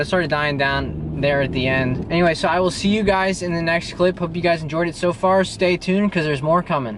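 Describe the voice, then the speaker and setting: Noticeable background noise sits behind a man speaking very fast. His intonation stays fairly even. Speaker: fitness vlogger. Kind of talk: tutorial; casual vlog talk. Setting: outdoors at the beach. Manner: halting, stuttering.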